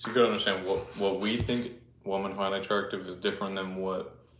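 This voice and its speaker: A man speaks at a moderate pace and a fairly low pitch. His intonation is monotone and flat, and the room echo is audible. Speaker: fitness livestreamer. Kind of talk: casual livestream chat. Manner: casual, filler-heavy.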